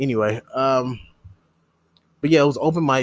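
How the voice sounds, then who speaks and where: Here a man with an ordinary speaking voice talks at a fairly quick pace in an American accent, with fairly even intonation. The sound is dry and close with no echo, over a quiet background. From Missouri. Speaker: podcast host. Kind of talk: casual solo rambling, storytelling podcast. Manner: casual, profane, rambling; self-deprecating, humorous.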